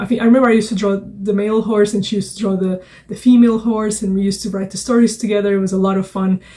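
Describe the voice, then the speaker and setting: A woman talks very fast in a flat monotone with a Portuguese accent. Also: medium pitch for a woman, hardly any pauses. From Portugal. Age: 30s. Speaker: children's book author and illustrator. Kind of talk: casual vlog talk. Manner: hesitant, many fillers.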